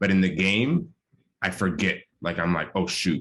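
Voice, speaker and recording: A man with an American accent speaks at a moderate pace. His very deep, low pitch carries a bright, sharp tone. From New York, the Bronx. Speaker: medical student. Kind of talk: panel discussion. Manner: casual, filler-heavy.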